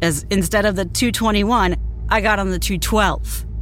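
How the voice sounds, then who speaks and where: A woman speaks with music in the background. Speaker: story narrator. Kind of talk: scripted horror narration, first person. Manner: tense, hushed, building dread.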